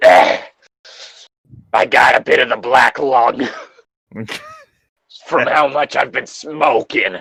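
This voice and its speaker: In a put-on character voice, a man talks in a raspy, fairly high pitch at a very slow pace, with long, frequent pauses. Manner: slithering, sinister.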